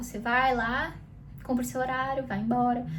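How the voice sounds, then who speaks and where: Noticeable background noise and audible room echo around a woman's high voice. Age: 20s. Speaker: youtuber. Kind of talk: casual vlog monologue. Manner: conversational, with fillers.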